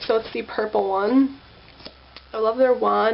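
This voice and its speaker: Over noticeable background noise, a woman speaks. Her pitch is fairly high and her pace very slow. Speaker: beauty vlogger. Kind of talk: makeup tutorial. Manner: casual, filler-heavy.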